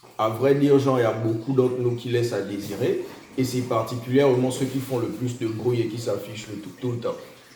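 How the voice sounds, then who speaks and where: A man's flat, monotone delivery at medium pitch and a fairly quick pace, with noticeable background noise and audible room echo. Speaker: podcast co-host. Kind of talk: casual chat. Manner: loud; halting.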